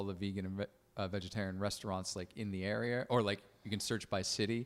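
A fairly low-pitched man with an American accent and fairly even intonation. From Connecticut, US. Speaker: comedian and musician. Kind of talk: casual podcast conversation. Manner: casual, filler-heavy.

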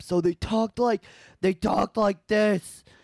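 A loud, guttural put-on character voice, fairly high in pitch, delivers lines at a moderate pace.

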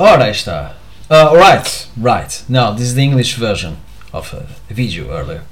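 Speaking at a moderate pace with a Portuguese accent, a man with a medium pitch makes very wide pitch swings. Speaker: solo podcaster / vlogger. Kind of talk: casual solo monologue. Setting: home at night, on camera. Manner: halting, many fillers.

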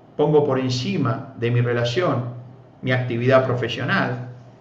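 Amid audible room echo and noticeable background noise, a man speaks fairly slowly at a medium pitch. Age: 50s. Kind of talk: sermon. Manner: frequent filler hesitations.

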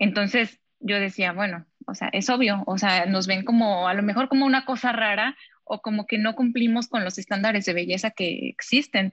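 Hardly pausing, a woman talks in an ordinary speaking voice at medium pitch with ordinary pitch variation, in a dry, close sound with no echo. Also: moderate pace. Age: 20s. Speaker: model. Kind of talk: interview.

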